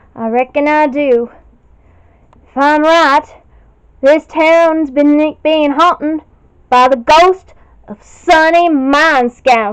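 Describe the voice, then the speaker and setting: A woman puts on a character voice, speaking in a high pitch at a very slow pace with long, frequent pauses. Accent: Western US. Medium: audio drama. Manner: folksy, drawling.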